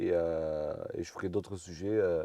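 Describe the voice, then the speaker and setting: A man speaks in a dark, mellow tone. The sound is dry and close with no echo, and the background is quiet. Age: 20s. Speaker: truck driver vlogger. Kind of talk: casual vlog talk. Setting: outdoors in a parking lot by a road. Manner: hesitant with fillers.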